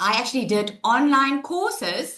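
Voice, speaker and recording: A woman sounds loud and animated, with a bright, sharp tone. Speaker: online business coach. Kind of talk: webinar presentation. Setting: live webinar, screen sharing.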